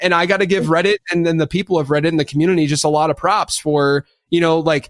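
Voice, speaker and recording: Here a man speaks at a very fast pace. His voice is high in pitch. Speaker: fantasy football podcast host. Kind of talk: casual chat. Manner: animated.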